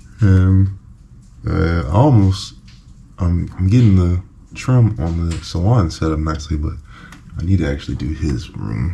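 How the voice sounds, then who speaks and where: With a very deep, low pitch, a man talks at a fairly slow pace with long, frequent pauses and very wide pitch swings, amid noticeable background noise and audible room echo. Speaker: boat refit vlogger. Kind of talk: casual work vlog.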